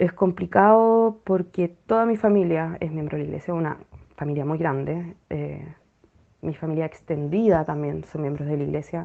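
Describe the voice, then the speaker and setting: A woman speaks in a Chilean accent with a very deep, low pitch. Her pace is moderate and her pitch variation ordinary. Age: 30s. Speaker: former church member sharing experience. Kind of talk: personal testimony. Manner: hesitant, many fillers.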